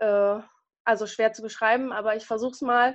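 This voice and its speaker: The background stays quiet. A woman talks with fairly even intonation. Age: 30s. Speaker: nurse with multiple sclerosis. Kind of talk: interview. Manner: hesitant, many fillers.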